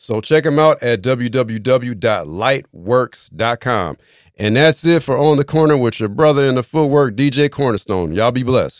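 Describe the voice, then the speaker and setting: A man with an unremarkable speaking voice talks at a moderate pace with ordinary pitch variation. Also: medium pitch for a man, very clean recording, silent background. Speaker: DJ and podcast co-host. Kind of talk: casual chat.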